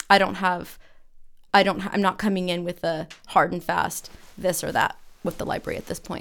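A woman with an American accent, fairly quick but with long, frequent pauses, in a monotone, flat intonation. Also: medium pitch for a woman. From California, Santa Cruz. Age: 40s. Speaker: teacher, city council candidate. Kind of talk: interview answers.

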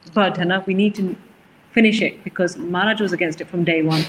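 A woman talks at a medium pitch with fairly even intonation. Noticeable background noise is present. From England, Leicester. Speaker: charity worker. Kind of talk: interview.

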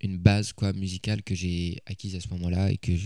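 Speaking at a moderate pace, a man has a very deep, low pitch and a dark, mellow tone. His intonation is monotone and flat. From Paris, France. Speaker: singer-songwriter. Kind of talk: interview. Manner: halting, many hesitations.

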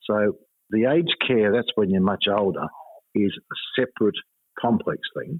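This man speaks with an Australian accent at a moderate pace and a medium pitch, with ordinary pitch variation and long, frequent pauses. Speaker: finance author and commentator. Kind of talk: interview. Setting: phone call.

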